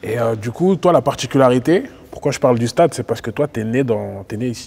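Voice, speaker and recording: Here is a man with a normal speaking voice and medium pitch. He talks at a fairly quick pace with ordinary pitch variation. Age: 20s. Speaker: interviewer. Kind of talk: interview.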